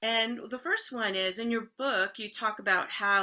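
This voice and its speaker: With an American accent, a woman speaks fairly slowly at a fairly high pitch in a bright, sharp tone. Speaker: podcast host. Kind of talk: interview.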